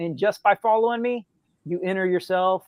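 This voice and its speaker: At a moderate speed, the speech carries fairly even intonation. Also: man. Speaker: author. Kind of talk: casual chat.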